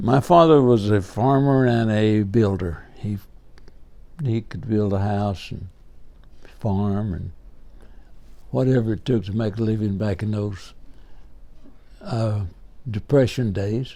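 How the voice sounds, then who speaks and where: A man with a fairly low, dark, mellow voice speaks at a fairly slow pace with ordinary pitch variation and long, frequent pauses. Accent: Southern US. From Alabama, US. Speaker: WWII veteran, former medic. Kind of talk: interview answer.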